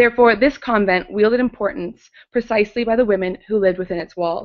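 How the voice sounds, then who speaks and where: Woman at a fairly quick pace, medium in pitch, with ordinary pitch variation. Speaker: conference speaker, art historian. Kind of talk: academic conference talk. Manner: fast.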